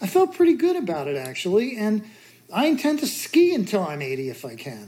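A woman speaks at a moderate pace with a fairly high pitch. Her tone is dark and mellow, and somewhat breathy. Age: 60s. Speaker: author and mountaineer. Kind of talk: casual interview chat.

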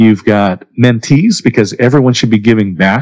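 In a quiet background, a man with a plain, everyday voice and medium pitch speaks at a moderate pace with ordinary pitch variation, the sound dry and close with no echo. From Oregon, US. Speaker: business networking coach and author. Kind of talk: interview conversation.

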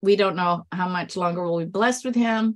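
A woman's medium-pitched voice, an ordinary speaking voice with ordinary pitch variation. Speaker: sweepstakes expert and author. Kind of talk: casual interview chat.

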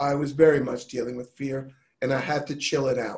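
A man's somewhat breathy, fairly high voice moves along at a moderate tempo. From New York. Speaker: health and wellness advocate. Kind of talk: casual chat.

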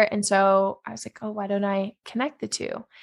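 A woman with a normal speaking voice and a fairly high pitch talks at a fairly quick pace, recorded very cleanly against a silent background. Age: 20s. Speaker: venture capital fund manager. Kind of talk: interview. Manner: casual, filler-heavy.

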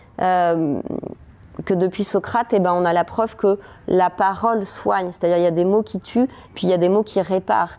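Her dark, mellow tone at a medium pitch, a woman keeps very even loudness and fairly even intonation, leaving long, frequent pauses. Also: moderate pace. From France, Paris. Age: 40s. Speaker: psychologist. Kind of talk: interview.

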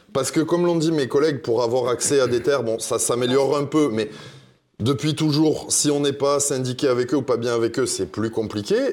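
A man with an unremarkable speaking voice, medium pitch, ordinary pitch variation and very even loudness. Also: fairly quick pace. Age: 30s. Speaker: pig farmer. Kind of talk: televised panel debate. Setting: studio with live audience.

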